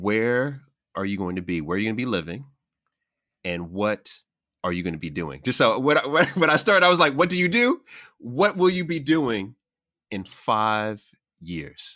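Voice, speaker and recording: In a very clean recording with a silent background, a man with an American accent speaks at a moderate pace and medium pitch, his tone bright and sharp. His pitch swings very widely, and he leaves long, frequent pauses. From US Queens, New York. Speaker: podcast host. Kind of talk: casual interview.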